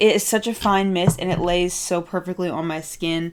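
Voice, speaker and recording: A woman speaks with an American accent. Her pitch is medium and her pace is moderate. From United States. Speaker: beauty YouTuber. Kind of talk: makeup review and tutorial. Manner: animated.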